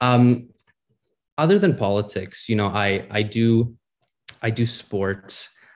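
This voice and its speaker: With a Canadian accent, a man speaks in an ordinary speaking voice at a fairly low pitch, with ordinary pitch variation. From Ontario, Canada. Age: young. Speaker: municipal election candidate. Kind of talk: interview.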